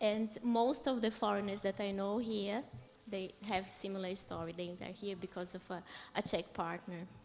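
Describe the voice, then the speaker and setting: At a moderate pace, a woman talks in a medium pitch with a Portuguese accent. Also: fairly even intonation. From Brazil. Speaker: conference panelist. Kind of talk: panel discussion.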